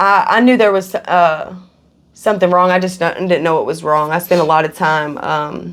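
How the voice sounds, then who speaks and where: A woman speaks at a moderate pace with a Kentucky accent. Her voice is fairly low in pitch, with fairly even intonation. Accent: Kentucky Southern US. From Kentucky, Louisville. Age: 30s. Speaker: recovering addict. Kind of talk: interview testimony. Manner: halting, many fillers.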